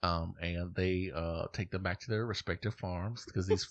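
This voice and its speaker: In a quiet background, a man talks with a very deep, low pitch and a bright, sharp tone. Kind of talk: casual chat. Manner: put-on exaggerated country accent; animated.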